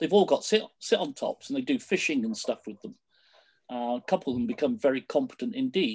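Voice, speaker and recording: Someone with a British accent talks at a fairly quick pace. The background is quiet. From Britain. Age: 60s. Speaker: canoe coach. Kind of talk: presentation. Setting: video call. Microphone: video call.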